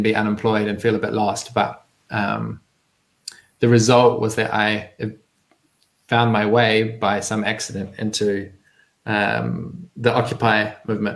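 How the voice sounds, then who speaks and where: In a New Zealand accent, a man speaks with a fairly low pitch and monotone, flat intonation. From New Zealand, rural. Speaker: community organizer. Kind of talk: interview. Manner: hesitant with many fillers.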